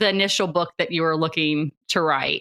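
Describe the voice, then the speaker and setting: A woman with a strong Southern US accent speaks at a moderate pace in a bright, sharp tone. The sound is dry and close with no echo, on a very clean recording with a silent background. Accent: strong Southern US country. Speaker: podcast host. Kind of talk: interview conversation.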